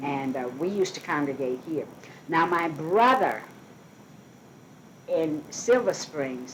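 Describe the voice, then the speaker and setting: A woman speaks very slowly in a very deep, low voice with lively intonation and long, frequent pauses. Noticeable background noise is present. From Birmingham, Alabama. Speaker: community activist. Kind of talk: interview answer. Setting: at home.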